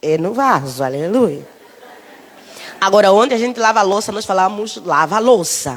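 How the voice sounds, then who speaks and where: A woman with an Angolan accent speaks at a moderate pace in a fairly high pitch, with very wide pitch swings. Noticeable background noise runs under her voice. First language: Umbundu (speaking Portuguese). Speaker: preacher. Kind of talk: sermon. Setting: church.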